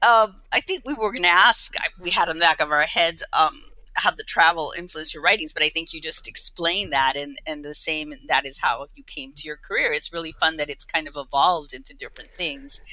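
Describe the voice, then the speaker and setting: A woman talks in an ordinary speaking voice at a fairly quick pace with a fairly low pitch. Her intonation is lively and her loudness swings widely. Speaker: podcast co-host. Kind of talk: casual podcast conversation.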